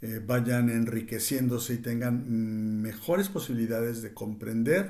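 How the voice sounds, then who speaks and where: A man speaks at a fairly slow pace in a dark, mellow tone. Room echo can be heard. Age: 60s. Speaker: cultural commentator. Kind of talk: reading aloud; reflective monologue. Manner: halting, with fillers.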